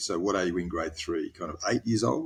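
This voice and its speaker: The recording is very clean, its background silent. In an Australian accent, a man talks at a fairly low pitch. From Australia, Tasmania (Hobart). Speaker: former naval officer turned lawyer. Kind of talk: podcast interview. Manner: hesitant, many fillers.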